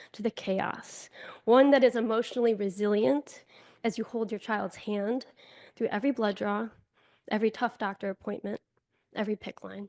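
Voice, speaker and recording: A woman's ordinary speaking voice with an American accent, fairly high in pitch with ordinary pitch variation, at a moderate pace, dry and close with no echo against a quiet background. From US Northeast, Buffalo, New York. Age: 30s. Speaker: keynote speaker. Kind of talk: inspirational speech.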